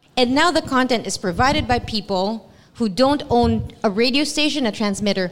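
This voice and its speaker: Noticeable background noise sits behind a woman speaking at a moderate pace with hardly any pauses. Her voice is fairly high, with lively intonation. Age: 40s. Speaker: radio DJ. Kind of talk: panel discussion. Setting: stage with audience.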